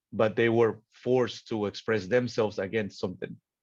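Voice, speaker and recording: At a moderate pace, a man speaks at medium pitch with flat, monotone intonation. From Mexico. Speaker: muralist and graffiti artist. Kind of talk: lecture Q&A. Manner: halting, many repetitions.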